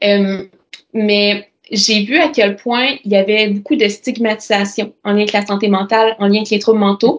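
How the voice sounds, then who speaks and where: A woman speaks with a Quebec accent at a medium pitch. Her intonation is fairly even and her loudness very even. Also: moderate pace. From Quebec, Bas-Saint-Laurent (Amqui). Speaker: nurse and nonprofit founder. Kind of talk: interview conversation.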